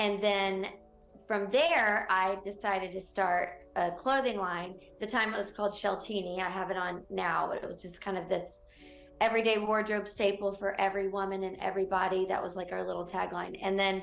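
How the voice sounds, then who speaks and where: Over music in the background and audible room echo, a woman with a slight Southern US accent speaks at a medium pitch in a monotone, flat intonation. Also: moderate pace. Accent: slight Southern twang. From North Carolina (Gastonia/Charlotte). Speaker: real estate broker. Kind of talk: TV interview. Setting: TV studio.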